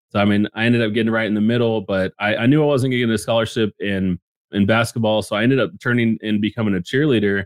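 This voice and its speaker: With an American accent, a man talks at a very fast pace in a dry, close sound with no echo. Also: medium pitch for a man, very even loudness. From Texas, Dallas-Fort Worth area. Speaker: NFT entrepreneur. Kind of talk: interview. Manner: animated.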